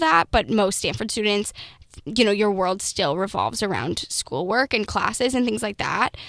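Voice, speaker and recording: She has vocal fry and a medium pitch. The woman's voice moves in very wide pitch swings. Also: very clean recording, silent background. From Minnesota. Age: 20s. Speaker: student founder of a political consulting firm. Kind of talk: interview.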